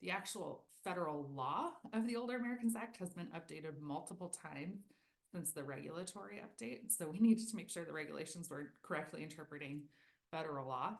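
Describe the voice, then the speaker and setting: A woman talks at a very fast pace in a fairly low pitch. Her intonation is lively. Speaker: federal agency presenter. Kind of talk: webinar presentation.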